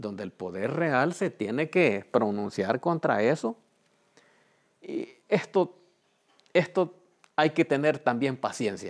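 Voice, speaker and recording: Over a quiet background, a man speaks very slowly with vocal fry and very wide pitch swings. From El Salvador, Chalatenango; El Salvador. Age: 60s. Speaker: community organizer. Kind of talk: testimony. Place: home room.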